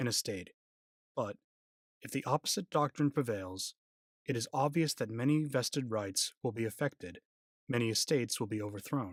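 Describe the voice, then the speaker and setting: The sound is dry and close, with no echo. A man of medium pitch talks at a moderate pace with ordinary pitch variation. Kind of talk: ASMR reading of a court opinion. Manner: soft-spoken, calm, sleep-inducing.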